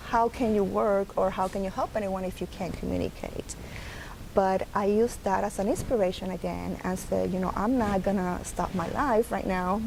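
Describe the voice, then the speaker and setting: A woman's medium-pitched voice in a Puerto Rican accent, with ordinary pitch variation and noticeable background noise. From Puerto Rico. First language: Spanish. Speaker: early intervention program director. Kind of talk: interview.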